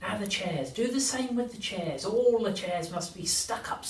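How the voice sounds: Text read in a natural reading voice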